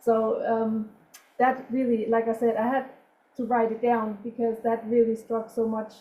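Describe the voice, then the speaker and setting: With a non-native accent, a woman speaks at a moderate pace in a fairly high pitch, her tone dark and mellow and her intonation monotone and flat. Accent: foreign. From outside the US. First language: not English. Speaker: yoga instructor and emergency medicine worker, webinar attendee. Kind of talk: audience comment in webinar.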